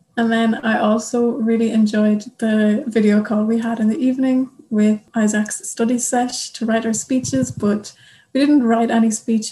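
Speaking with an Irish accent, a woman has a fairly high pitch, a dark, mellow tone, a somewhat breathy quality and fairly even intonation. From Ireland. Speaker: youth delegate, au pair. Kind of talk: casual chat.

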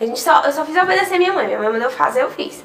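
Audible room echo and noticeable background noise accompany a woman's speech. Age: 20s. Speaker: e-commerce business owner. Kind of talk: podcast interview.

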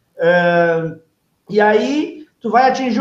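A man's voice swings very widely in pitch, with audible room echo around it. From southern Brazil, Novo Hamburgo (Rio Grande do Sul). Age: 40s. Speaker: radio station director. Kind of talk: casual chat. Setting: at the radio station.

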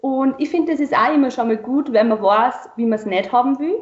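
This woman's voice sits high, with ordinary pitch variation. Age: 20s. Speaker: wedding celebrant. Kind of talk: interview.

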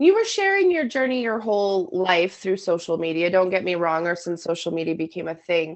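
A woman talks fairly quickly in an ordinary speaking voice. Her pitch varies in an ordinary way. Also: medium pitch for a woman, hardly any pauses. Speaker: podcast co-host, works long shifts. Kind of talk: casual chat.

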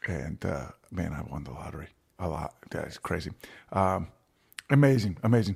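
With an American accent and vocal fry, a man speaks in a very deep, low pitch at a moderate pace. His pitch swings very widely, his loudness shifts greatly, and he takes long, frequent pauses. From Virginia, US. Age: 30s. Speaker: musician. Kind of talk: casual chat.

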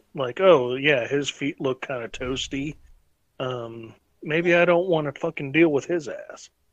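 In an unremarkable speaking voice, a man talks fairly slowly at a fairly high pitch with ordinary pitch variation, the sound dry and close with no echo. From North Carolina. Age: 30s. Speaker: podcast host. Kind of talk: casual chat.

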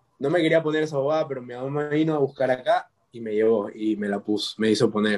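The speaker uses a normal speaking voice, talking fairly quickly with ordinary pitch variation. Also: man. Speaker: student. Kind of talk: casual chat.

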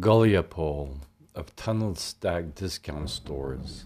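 A man is speaking. His pace is very slow. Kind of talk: spoken word poem reading, abstract verse.

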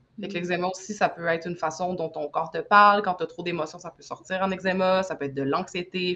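Fairly low in pitch, a woman speaks with a bright, sharp tone. Her pace is fairly quick and her intonation fairly even. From Quebec, Saguenay. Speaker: energy healer and sound artist. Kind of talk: casual interview chat.

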